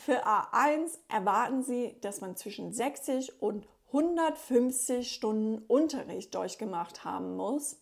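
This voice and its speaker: In a very clean recording over a silent background, a speaker with an English accent goes at a very slow pace with ordinary pitch variation. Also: woman. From USA. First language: English (speaking German). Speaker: German teacher and linguist. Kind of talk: tutorial.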